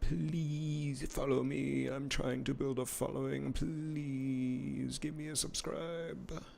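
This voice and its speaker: A man mumbles at a very slow pace with hardly any pauses. The room echo is audible. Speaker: streaming artist. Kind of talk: casual live-stream commentary while drawing. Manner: mumbling.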